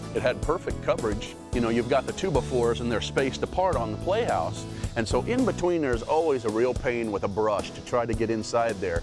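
Music plays behind a man speaking at a fairly quick pace. He leaves hardly any pauses. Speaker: parent customer giving testimonial. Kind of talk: infomercial customer testimonial. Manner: casual, hesitant.

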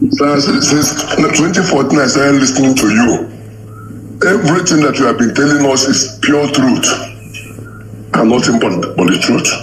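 A man with a Nigerian accent, fairly high pitch, ordinary pitch variation, very even loudness, fairly slow pace, long, frequent pauses, and noticeable background noise. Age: 60s. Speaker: caller. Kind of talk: call-in comment.

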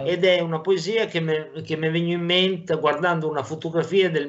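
A man talks at a moderate pace, his pitch rising and falling in an ordinary way. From Lombardy. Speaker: dialect poet. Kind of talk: interview answer. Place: home room. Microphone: video call.

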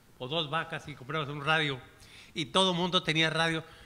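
An animated voice with a bright, sharp tone. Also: man. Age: 70s. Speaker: chronicler / historian; panelist. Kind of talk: panel discussion. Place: hall. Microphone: podium.

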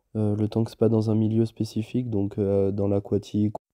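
Against a quiet background, a man speaks in a flat monotone at a fairly low pitch, his tone dark and mellow and the sound dry and close with no echo. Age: 20s. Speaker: apprentice sports instructor. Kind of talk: personal testimony. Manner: hesitant with many fillers.

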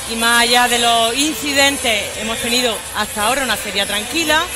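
The speech keeps a moderate pace while clear music sounds behind it. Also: woman. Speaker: council guest. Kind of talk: interview answer. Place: stage. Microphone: headset.

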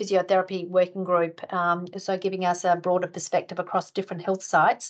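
Against a quiet background, a woman talks at a fairly quick pace with monotone, flat intonation and hardly any pauses. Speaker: webinar presenter. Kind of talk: presentation. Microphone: video call.

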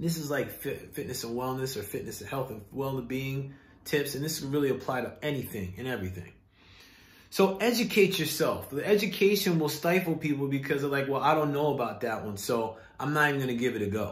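A man at a fairly quick pace amid audible room echo. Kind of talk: casual vlog advice talk. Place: home room. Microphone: phone near.

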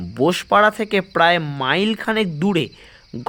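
A natural voice reads a passage aloud.

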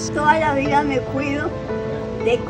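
A woman is heard over noticeable background noise. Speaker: interviewed elder. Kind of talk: interview answer. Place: home room. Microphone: phone near.

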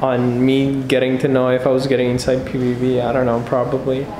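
With noticeable background noise in the clip, a man talks at a moderate pace. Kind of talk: casual vlog chat. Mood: nervous, anxious. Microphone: phone near.

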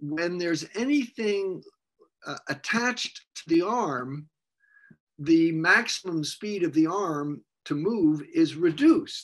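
Against a quiet background, a man with a high pitch speaks very slowly, his intonation lively. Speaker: former astronaut and aerospace engineering professor; storyteller. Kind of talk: personal storytelling. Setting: remote video stream from home. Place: home room. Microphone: webcam.

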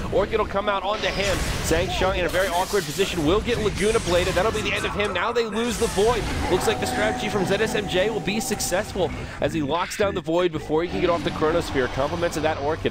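Over music in the background, the speaker talks at a very fast pace in an animated tone. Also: man, high pitch for a man, ordinary pitch variation. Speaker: esports commentator. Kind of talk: live esports match commentary. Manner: fast, animated play-by-play, rising excitement at kills.

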